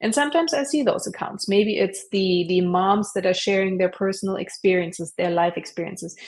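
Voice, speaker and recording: Lively intonation from a woman with a German accent, medium in pitch and fairly quick in pace. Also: hardly any pauses. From Germany. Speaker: online entrepreneur, affiliate marketer. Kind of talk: interview. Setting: live stream.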